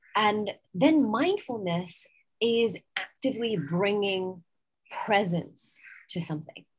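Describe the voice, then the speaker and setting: Speaking at a very slow pace with long, frequent pauses, a woman with an American accent uses lively intonation in a medium pitch that is somewhat breathy. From England. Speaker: yoga teacher and mindset coach. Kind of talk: interview. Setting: outdoors in a garden. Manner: calm.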